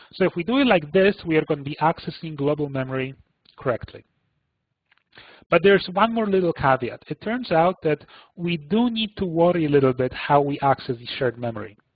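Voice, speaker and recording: Lively in intonation, a man talks at a fairly quick pace in an unremarkable speaking voice, pitched fairly high for a man. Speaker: computing analyst presenting a seminar. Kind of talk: technical webinar lecture. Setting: online webinar.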